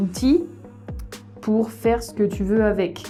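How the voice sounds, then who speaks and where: Music plays in the background. A woman with medium pitch talks at a fairly slow pace. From France, Issoudun. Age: 30s. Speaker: French exam coordinator. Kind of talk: casual interview answer. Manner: warm, dynamic.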